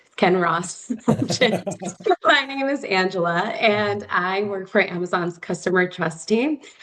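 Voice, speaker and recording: A woman's lively intonation at a fairly slow pace, with noticeable background noise. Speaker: corporate external relations lead. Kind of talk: webinar presentation.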